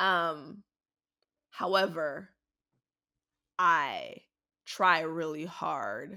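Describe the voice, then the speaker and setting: Over a very clean recording with a silent background, a woman with a fairly low pitch talks in an animated tone with ordinary pitch variation. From Jamaica. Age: 30s. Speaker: graphic designer and business owner. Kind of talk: casual chat.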